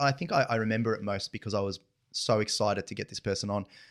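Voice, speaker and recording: A man with an Australian accent talks at a very fast pace, his pitch fairly low and his intonation fairly even. The sound is dry and close with no echo, a very clean recording with a silent background. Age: 40s. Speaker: financial advisor and family business co-owner. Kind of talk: interview conversation.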